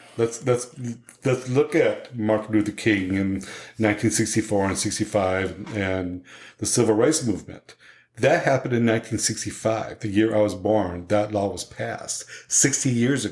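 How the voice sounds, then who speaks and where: Speaking in an ordinary speaking voice, a man keeps a moderate pace at a fairly low pitch with ordinary pitch variation. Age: 60s. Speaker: LGBTQ community elder. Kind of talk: casual chat.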